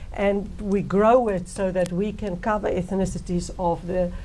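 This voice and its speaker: In a room with audible echo and noticeable background noise, a woman of medium pitch speaks at a fairly slow pace with fairly even intonation. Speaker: politician, party co-leader. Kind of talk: interview.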